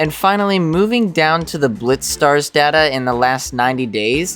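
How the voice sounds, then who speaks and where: A man at a moderate pace with ordinary pitch variation, music in the background. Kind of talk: game review narration.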